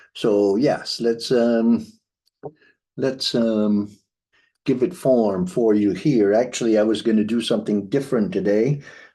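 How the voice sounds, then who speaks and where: Keeping his loudness very even, a man speaks in a dark, mellow tone. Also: medium pitch for a man, ordinary pitch variation, fairly slow pace. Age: 60s. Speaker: astrologer. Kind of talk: astrology tutorial. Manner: halting.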